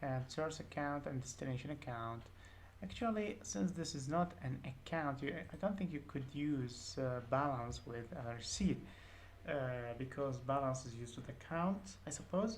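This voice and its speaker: With a very deep, low pitch, a woman talks in lively intonation while audible room echo fills the recording. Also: moderate pace. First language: not English. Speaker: programming tutor. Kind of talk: tutorial. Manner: hesitant, many fillers.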